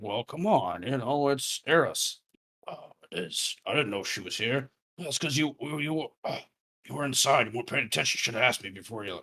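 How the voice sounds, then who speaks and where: A man puts on a raspy character voice at a medium pitch and a moderate pace. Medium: actual play.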